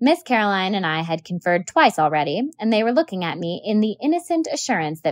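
This is plain reading aloud.

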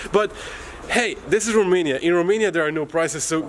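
A man with lively intonation over light background noise. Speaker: travel vlogger. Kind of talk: casual vlog chat. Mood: cheerful, joking. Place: street. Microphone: phone near.

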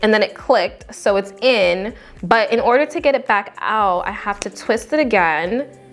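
Moderate-paced female speech over faint background music. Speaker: beauty vlogger. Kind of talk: casual product review chat. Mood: amused, mildly frustrated. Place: home room.

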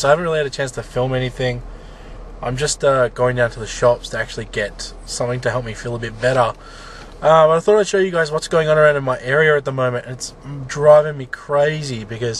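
A man with an Australian accent talks very fast at a fairly high pitch. Noticeable background noise runs behind him. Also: ordinary pitch variation. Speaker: vlogger. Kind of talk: casual talk to camera.

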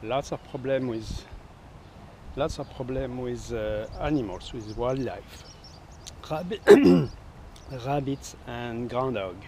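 A man's very deep-toned, dark and mellow voice at a very slow pace, with long, frequent pauses, ordinary pitch variation, big swings in loudness, a dry sound with no echo and light background noise. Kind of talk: casual garden tour vlog. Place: garden. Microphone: phone near.

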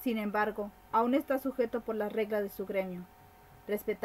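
This is a natural reading voice. It reads in a natural reading voice.

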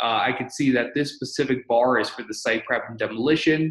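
A man at a fairly quick pace, with audible room echo and a quiet background. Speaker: presenter. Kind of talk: tutorial. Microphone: video call.

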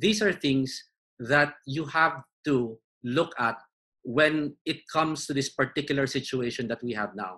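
Against a quiet background, a man with a fairly high pitch speaks fairly slowly in a bright, sharp tone with ordinary pitch variation. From Philippines. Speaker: arbitration lawyer and arbitrator; arbitration lawyer. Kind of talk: webinar panel discussion. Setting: video call. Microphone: video call.

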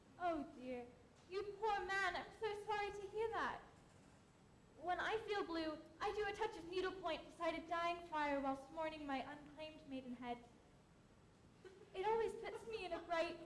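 In a put-on character voice, a woman speaks with an extremely high, breathy pitch and lively intonation at a moderate pace. Long, frequent pauses break it up, with clear background noise behind. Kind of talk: comic overacting, prim period speech. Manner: breathy, gushing, lovelorn.

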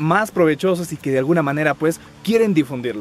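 A man at a fairly quick pace, dry sound with no echo, faint music in the background. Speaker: vlogger. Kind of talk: casual vlog chat. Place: open country.

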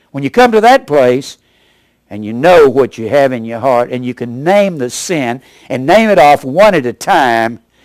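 With an American accent, a normal speaking voice talks at a moderate pace, using lively intonation and big swings in loudness. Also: man, medium pitch for a man. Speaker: Bible preacher and teacher. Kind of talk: sermon delivered to a congregation.

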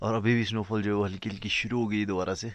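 Over a dry sound with no echo, a man talks at a fairly quick pace. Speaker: vlogger. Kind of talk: casual vlog chat. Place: open country. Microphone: phone near.

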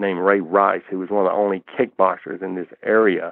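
A man speaks with a Southern US accent at a moderate pace. His pitch is fairly low and his intonation monotone and flat. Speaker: martial artist, kickboxer. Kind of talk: interview answer.

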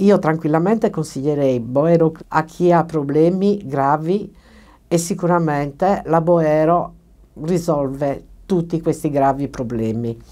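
Very slowly and with ordinary pitch variation, a woman speaks in a dark, mellow tone at a very deep, low pitch over a quiet background. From Sardinia, Cagliari. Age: 60s. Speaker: dental patient. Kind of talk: testimony. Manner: hesitant, many fillers. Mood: grateful, warm. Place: studio.

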